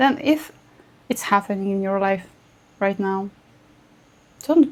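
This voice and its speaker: A woman's medium-pitched voice with lively intonation, at a fairly slow pace. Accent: non-native. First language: not English. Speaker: astrologer. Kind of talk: casual video talk to camera.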